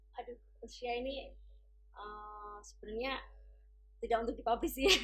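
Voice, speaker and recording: With music in the background, a woman with an East Javanese accent speaks at a high pitch and a moderate pace. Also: ordinary pitch variation. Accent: East Javanese (Surabaya-like) medok. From Tuban, East Java. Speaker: English and Mandarin teacher. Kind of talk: interview.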